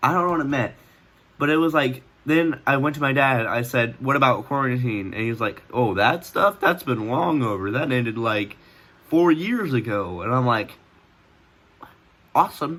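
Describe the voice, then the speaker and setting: A man speaks with long, frequent pauses and a bright, sharp tone. His intonation is lively. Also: medium pitch for a man, moderate pace. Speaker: vlogger. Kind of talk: casual storytelling. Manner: rambling with many fillers.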